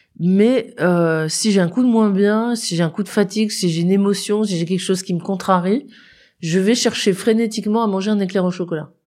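On a very clean recording with a silent background, a woman with a dark, mellow tone and medium pitch speaks at a moderate pace, her intonation fairly even. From northern France. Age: 40s. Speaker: historian. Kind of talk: interview.

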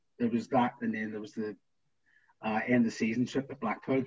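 Flat and monotone, a man with a Northern Irish accent speaks at a medium pitch. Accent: Northern Irish (Belfast). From Northern Ireland, East Belfast. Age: 40s. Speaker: former footballer. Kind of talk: casual interview.

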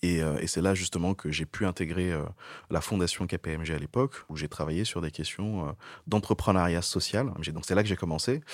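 This man has a very deep, low pitch and ordinary pitch variation. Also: moderate pace. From Niger. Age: 30s. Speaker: corporate CSR manager. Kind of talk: interview. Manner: hesitant, repeats words.

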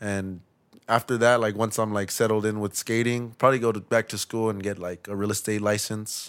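With an American accent and a normal speaking voice, a man speaks at a moderate pace, his fairly low pitch held in fairly even intonation. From US West Coast, East Los Angeles. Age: 20s. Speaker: skateboarder. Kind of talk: casual chat.

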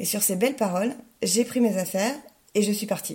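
At a fairly quick pace, a woman with a medium pitch speaks in a dark, mellow tone that is somewhat breathy. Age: 30s. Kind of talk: testimony.

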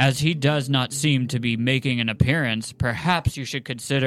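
What we hear is plain reading aloud.

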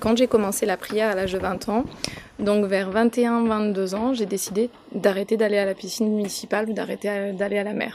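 A woman's monotone, flat delivery amid noticeable background noise. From France. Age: 30s. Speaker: fashion columnist and stage actor. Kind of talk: interview testimony.

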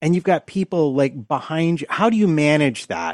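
A man uses a normal speaking voice at a fairly high pitch and a moderate pace. His ordinary pitch variation comes through a dry, close sound with no echo. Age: 50s. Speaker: podcast co-host. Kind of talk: casual chat.

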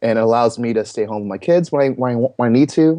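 A man with a Canadian accent speaks very fast in a medium pitch with ordinary pitch variation. His tone is dark and mellow, and the background is quiet. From Toronto area, Canada. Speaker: singer-songwriter and church arts pastor. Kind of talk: interview.

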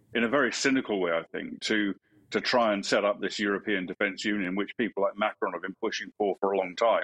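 In an English accent, a man talks with a fairly low pitch and fairly even intonation. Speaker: retired army officer. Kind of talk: news interview.

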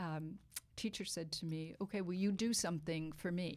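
Very clean recording, with a silent background. A woman with a normal speaking voice talks at a fairly low pitch with fairly even intonation. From Boston, US. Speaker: wine writer and author. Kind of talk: casual interview chat.

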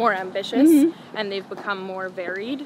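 Noticeable background noise is present throughout. A woman's speech holds a moderate pace. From Colombia. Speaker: music artist. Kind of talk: casual interview. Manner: hesitant, many fillers.

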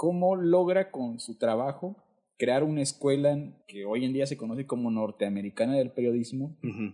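A man's medium-pitched voice, dark and mellow in tone, with lively intonation at a moderate pace. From Oaxaca, Isthmus region, Mexico. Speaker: podcast co-host. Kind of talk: casual chat.

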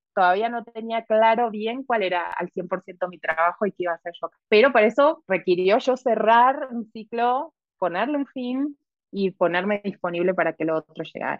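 Speaking at a moderate pace, a woman with an Argentine accent uses a fairly high pitch and lively intonation. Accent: Argentine Spanish (voseo). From Argentina, southern Patagonia. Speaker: tarot reader. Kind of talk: interview conversation. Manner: halting with many repetitions.

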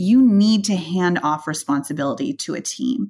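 Here a woman speaks in a normal speaking voice. Her pitch sits fairly low. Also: very clean recording, silent background. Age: 30s. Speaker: venture capital investor. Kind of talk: interview conversation.

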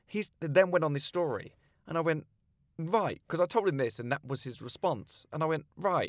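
A man with a southern English accent, fairly high in pitch, with ordinary pitch variation. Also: moderate pace, dry, close sound with no echo, very clean recording, silent background. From south-east England, Slough. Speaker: comedian. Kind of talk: casual chat.

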